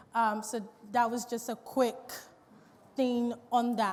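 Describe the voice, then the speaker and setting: There is audible room echo on this woman's voice. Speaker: business owner giving a talk on social media. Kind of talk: seminar talk. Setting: stage with audience.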